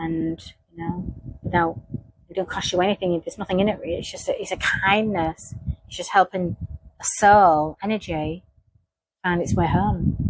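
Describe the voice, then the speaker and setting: A woman at a medium pitch and moderate pace, fairly even intonation, long and frequent pauses, big swings in loudness. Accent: Hull. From northern England, Hull. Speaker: psychic investigator. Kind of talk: monologue reflection. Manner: halting, with many restarts.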